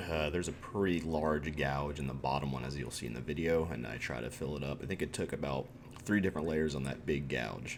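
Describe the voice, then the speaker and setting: A man speaks at a fairly quick pace in a very deep, low voice, with audible echo in the room. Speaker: furniture flipping YouTuber. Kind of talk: tutorial voiceover. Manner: casual with many fillers.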